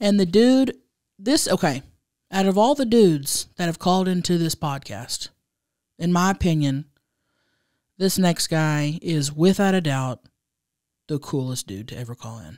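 Against a quiet background, a woman with a fairly low voice talks at a moderate pace, taking long, frequent pauses, with very wide pitch swings, big swings in loudness, and a dry sound with no echo. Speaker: podcast co-host. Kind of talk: casual chat. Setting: studio. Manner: animated. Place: studio. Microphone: studio mic.

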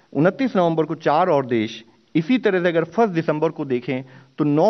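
A man speaks fairly slowly, and the background stays quiet. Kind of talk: press briefing statement. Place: hall. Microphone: podium.

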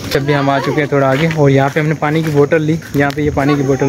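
Over noticeable background noise, a man talks at a fairly quick pace in a monotone, flat intonation, the sound dry with no echo. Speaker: travel vlogger. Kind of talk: casual vlog chat. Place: street. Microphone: phone near.

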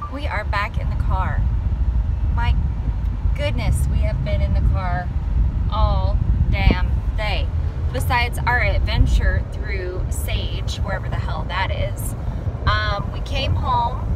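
Loud background noise surrounds the recording. A woman speaks at a very slow pace with long, frequent pauses. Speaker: vlogger. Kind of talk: casual vlog chat. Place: car. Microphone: phone near.

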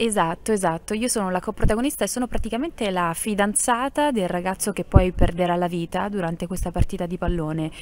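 Talking at a very fast pace with hardly any pauses, a woman shows ordinary pitch variation, the sound dry with no echo and light background noise. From Apulia (Salento); Apulia. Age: young. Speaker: actress and singer; actress. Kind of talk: interview. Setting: theatre. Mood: warm, cheerful. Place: stage. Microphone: handheld.

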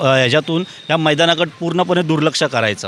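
Music plays in the background. A man talks in a fairly high voice with fairly even intonation. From Mumbai, Worli. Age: young. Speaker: ward coordinator for a political party. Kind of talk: on-location interview. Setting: outdoors at a sports ground.

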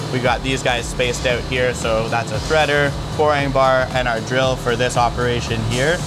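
With music in the background, a man talks at a fairly quick pace using ordinary pitch variation. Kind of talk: tutorial. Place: workshop.

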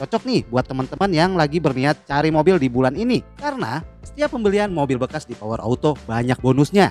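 Fairly brisk male speech, echo-free dry sound, soft music underneath. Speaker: presenter. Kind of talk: sales promo presentation. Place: street.

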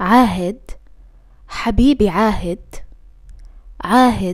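A woman with a fairly high pitch and a dark, mellow tone speaks over a quiet background. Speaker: Arabic language teacher. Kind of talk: language lesson, repeating phrases. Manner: slow, clear. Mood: worried, tender, affectionate. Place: home room.

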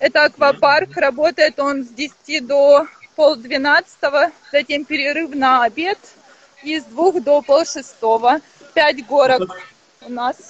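A woman's high voice at a very slow pace, with ordinary pitch variation and a dry sound free of echo. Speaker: hotel representative. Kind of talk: guided hotel tour on a live stream. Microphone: internet connection dropped; video call.

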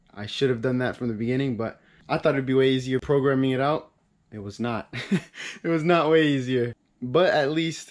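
The background is quiet as a man speaks. His pace is moderate and his intonation fairly even. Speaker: car hobbyist vlogger. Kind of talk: casual vlog chat. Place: garage. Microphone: camera far.

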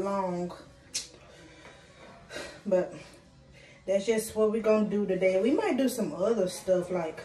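A woman speaks at a moderate pace with fairly even intonation. Faint music plays in the background amid audible room echo. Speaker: vlogger. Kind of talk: casual vlog chat. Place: home room. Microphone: phone near.

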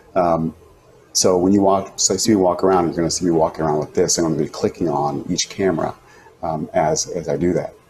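This man's very deep, low voice comes out somewhat breathy at a fairly quick pace, with light background noise behind it. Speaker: teacher. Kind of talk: casual tutorial chat. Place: home room. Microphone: lapel.

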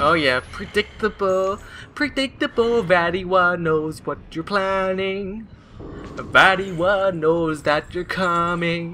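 Over light background noise, a man with a high pitch speaks at a very slow pace in a raised, projected voice, his tone bright and sharp and his pitch variation ordinary. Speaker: gaming video creator. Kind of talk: let's play commentary. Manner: animated, frequent laughter. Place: home room. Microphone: headset.

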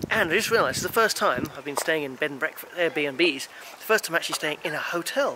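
A man with a high pitch speaks very fast with ordinary pitch variation, the sound dry with no echo and light background noise. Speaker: travel vlogger. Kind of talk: casual vlog chat. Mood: amazed, enthusiastic. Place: street. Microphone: phone near.

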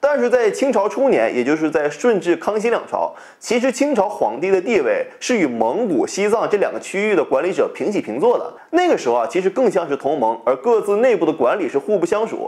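The man speaks at a fairly quick pace with hardly any pauses. The background is quiet. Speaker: history channel host. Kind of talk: educational commentary. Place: home room. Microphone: lapel.

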